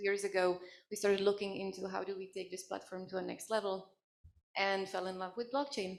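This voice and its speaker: A woman's medium-pitched voice in a Czech accent, fairly quick and fairly even in intonation. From Czech Republic. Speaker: gaming company CEO. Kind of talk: conference panel. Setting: stage with audience.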